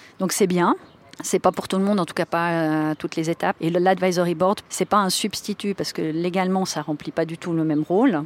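Here is a woman with an unremarkable speaking voice and fairly even intonation. Her pace is fairly quick. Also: fairly low pitch for a woman. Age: 40s. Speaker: board member and digital transformation consultant. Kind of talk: interview.

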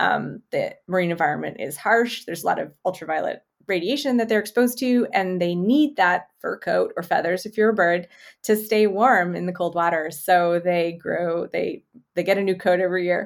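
A woman with an unremarkable speaking voice talks at a medium pitch and moderate pace, with ordinary pitch variation, in a very clean recording with a silent background. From Canada, Manitoba (Winnipeg). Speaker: zoologist and professor. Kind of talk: interview.

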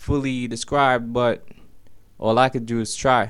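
This man's voice sits at a medium pitch. He delivers his words in a monotone, flat way. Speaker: spoken word poet. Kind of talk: spoken word poem, confessional love poem with rhymes. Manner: earnest, intimate, rhythmic delivery.

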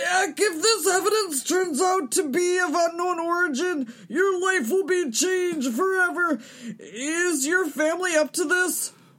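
An extremely high-pitched voice at a moderate pace. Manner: excited, earnest.

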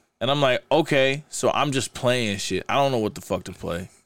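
A man with an American accent in a very clean recording with a silent background, an ordinary speaking voice, ordinary pitch variation and a moderate pace. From US Midwest, Kansas City and Saint Louis, Missouri. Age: 30s. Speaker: DJ. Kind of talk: casual chat.

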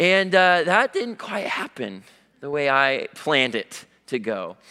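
Very wide pitch swings mark this man's bright, sharp tone. He has an American accent, and the recording is very clean with a silent background. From US Pacific Northwest. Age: young. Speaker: young lay preacher. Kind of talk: sermon. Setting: church.

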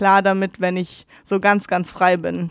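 A woman's monotone voice with flat intonation, on a very clean recording with a silent background. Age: 20s. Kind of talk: casual interview. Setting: studio.

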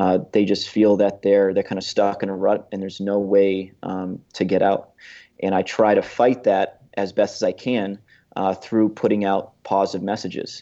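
Monotone, flat delivery from a man with an American accent, fairly low in pitch and dark, mellow in tone, at a moderate pace over a quiet background. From Massachusetts, US. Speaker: Marine veteran and firearms instructor. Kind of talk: podcast interview.

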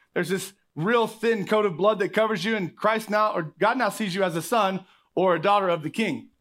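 Against a silent background on a very clean recording, a man with an American accent speaks at a high pitch with ordinary pitch variation. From Oklahoma. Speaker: pastor. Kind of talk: sermon. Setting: church with congregation.

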